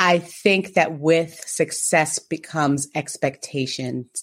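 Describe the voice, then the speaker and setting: This woman talks at a very slow pace with fairly even intonation. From New Jersey. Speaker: podcast co-host. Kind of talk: casual chat.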